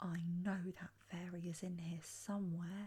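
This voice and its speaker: In a put-on character voice, rumbling and monotone with flat intonation, the speaker keeps a moderate pace. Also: woman. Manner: grumbling.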